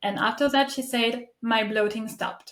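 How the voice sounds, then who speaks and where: The speaker talks at a moderate pace in a French accent, with ordinary pitch variation. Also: woman. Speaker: podcast host. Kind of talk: interview conversation. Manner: halting.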